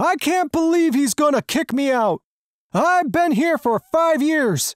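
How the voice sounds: A cartoonish character voice speaks in a high pitch at a fairly slow pace. The recording is very clean, with a silent background.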